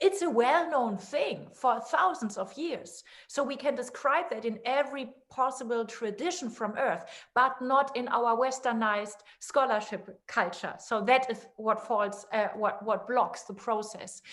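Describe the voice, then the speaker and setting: A woman with a non-native accent speaks at a high pitch and a fairly slow pace, her intonation lively and her pauses hardly any. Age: 50s. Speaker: author and researcher. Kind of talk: podcast interview.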